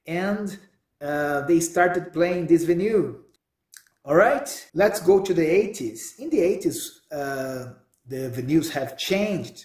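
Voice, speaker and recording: Speaking with a Brazilian accent, a man with a high pitch uses lively intonation at a very slow pace, leaving long, frequent pauses. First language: Portuguese. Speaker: podcast host. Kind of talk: solo monologue. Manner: halting.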